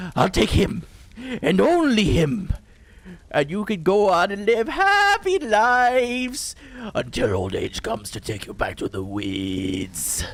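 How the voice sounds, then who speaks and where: A man puts on a character voice, pitched high. He keeps a fairly slow pace. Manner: menacing, sing-song.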